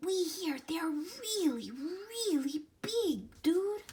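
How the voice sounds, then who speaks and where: A woman shouts in a put-on character voice at an extremely high pitch. She goes at a very slow pace. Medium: read story. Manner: excited, shouting.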